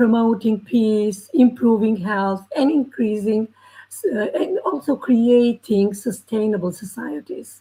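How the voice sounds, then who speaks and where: At a fairly slow pace, a woman with a fairly high pitch speaks in a somewhat breathy, dark, mellow tone with lively intonation. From Albania. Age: 70s. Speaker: educator and teacher trainer. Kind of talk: panel discussion talk. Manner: halting, many fillers.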